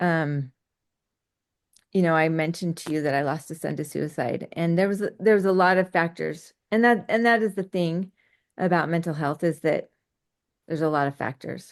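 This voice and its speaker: Against a quiet background, a woman with a fairly low voice and ordinary pitch variation talks at a moderate pace, leaving long, frequent pauses. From US West, Utah. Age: 50s. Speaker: entrepreneur. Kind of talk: podcast interview.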